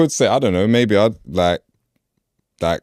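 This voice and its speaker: A man talks fairly slowly with lively intonation. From Peckham, South London. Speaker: rapper. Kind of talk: interview answer. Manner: casual, hesitant.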